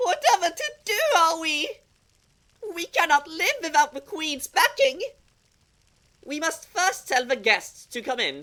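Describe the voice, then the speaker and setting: Extremely high in pitch, a cartoonish character voice moves at a fairly slow pace with long, frequent pauses. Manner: inverted word order, pompous.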